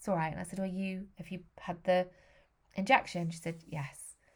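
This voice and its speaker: Speaking in an English accent, a woman has a fairly low pitch and a somewhat breathy voice. She goes at a very fast pace with fairly even intonation. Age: 40s. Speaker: podcast host. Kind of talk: personal monologue.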